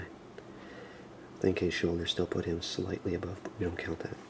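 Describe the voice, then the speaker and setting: A man whispers at a fairly slow pace. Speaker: ASMR toy reviewer. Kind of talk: ASMR action figure review. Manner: soft-spoken, whispery.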